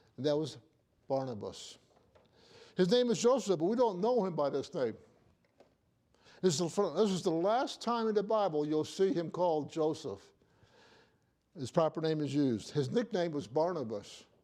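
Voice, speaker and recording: With audible room echo around him, a man speaks at a high pitch in a dark, mellow tone. His pitch swings very widely, and he leaves long, frequent pauses. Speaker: pastor. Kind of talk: sermon. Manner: fast; conversational.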